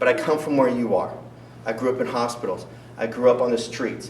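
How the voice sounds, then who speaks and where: There is noticeable background noise and audible room echo as a man speaks at medium pitch. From US, moved between states (North Carolina, Montana). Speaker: political candidate. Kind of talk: campaign debate speech. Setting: school event with audience. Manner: animated, rhetorical.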